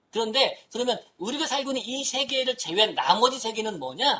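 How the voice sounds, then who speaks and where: Her high pitch comes through as the woman talks at a fairly quick pace. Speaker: humanities professor. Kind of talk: lecture. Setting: talk to an audience of professors. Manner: fast.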